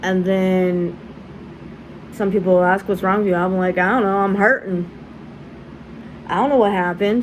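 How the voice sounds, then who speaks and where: There is noticeable background noise. A woman speaks at a fairly slow pace in a medium pitch. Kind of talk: casual vlog. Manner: halting, repetitions.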